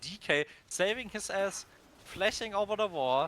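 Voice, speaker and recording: A man projects his voice loudly with a non-native accent and lively intonation. His tone is bright and sharp. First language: not English. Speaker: esports caster. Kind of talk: live commentary. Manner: animated; fast.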